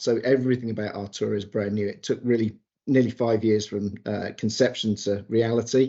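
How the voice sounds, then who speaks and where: With a British accent, a man speaks at medium pitch and a fairly quick pace, his intonation fairly even. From England. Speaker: automotive PR executive. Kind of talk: interview.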